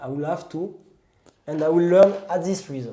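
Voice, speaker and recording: Speaking with a French accent, a man talks at a moderate pace with ordinary pitch variation and audible room echo. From France, southwest near the Pyrenees. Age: 30s. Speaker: pastry chef and trail runner. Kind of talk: casual interview chat. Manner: halting, with self-corrections.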